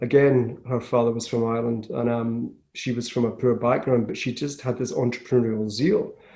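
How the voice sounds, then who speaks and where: With a west of Scotland accent, a man speaks at a moderate pace. His medium-pitched voice has a dark, mellow tone. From Scotland, west coast (Glasgow area). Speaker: business founder. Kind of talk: interview.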